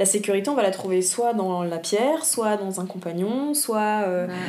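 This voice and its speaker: Against noticeable background noise and audible room echo, a woman talks at a moderate pace with hardly any pauses. Her pitch sits in the medium range and varies in an ordinary way. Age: 20s. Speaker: environmental education worker, former whale volunteer. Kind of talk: casual interview.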